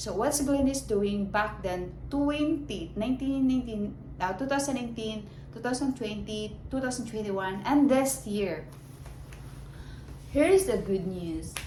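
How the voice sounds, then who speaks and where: Audible room echo surrounds a woman with a Filipino accent as she speaks in a fairly high pitch with lively intonation. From Philippines. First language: Filipino language. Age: 30s. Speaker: vlogger. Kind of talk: casual monologue to camera. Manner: halting.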